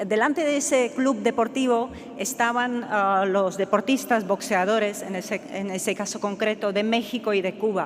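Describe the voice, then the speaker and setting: Speaking with a Czech accent at a moderate pace, this voice has ordinary pitch variation and hardly any pauses. Noticeable background noise runs underneath. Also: woman, fairly high pitch for a woman. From Czechoslovakia (Czech Republic). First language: Czech (speaking Spanish). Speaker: professor. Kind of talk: conference talk. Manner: halting, many fillers and repetitions.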